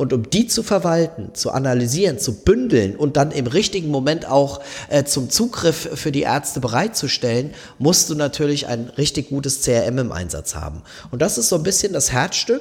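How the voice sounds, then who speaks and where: Pitched fairly high, a man speaks at a moderate pace with lively intonation and a somewhat breathy quality. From southwestern Germany. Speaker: company managing director. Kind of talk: casual interview.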